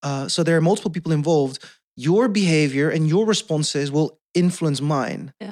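In a Dutch accent, a man with a fairly high-pitched voice speaks at a moderate pace. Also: ordinary pitch variation. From Netherlands. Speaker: podcast guest. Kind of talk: casual chat. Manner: halting.

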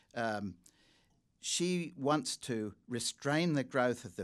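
On a very clean recording with a silent background, the speaker has a slight English accent and lively intonation. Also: man. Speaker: journalist and China commentator. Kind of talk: public lecture and Q&A. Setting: stage with audience.

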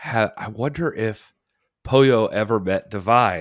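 An ordinary speaking voice at a fairly slow pace on a very clean recording with a silent background. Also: man. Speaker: podcast co-host. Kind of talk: casual podcast discussion.

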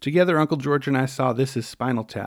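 On a very clean recording with a silent background, a man with an American accent and a normal speaking voice talks at medium pitch and a fairly quick pace. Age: 40s. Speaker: podcast host, musician. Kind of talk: scripted narration.

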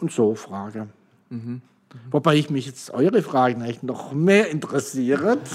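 Using an ordinary speaking voice, a man talks at a moderate pace with lively intonation and big swings in loudness. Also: medium pitch for a man. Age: 60s. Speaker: pastor. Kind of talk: casual chat.

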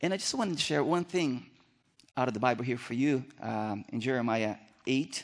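Against a quiet background, a man with a Brazilian accent speaks at a moderate pace with lively intonation. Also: medium pitch for a man. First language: Portuguese. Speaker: missionary. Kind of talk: sermon. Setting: church stage with audience. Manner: nervous about English.

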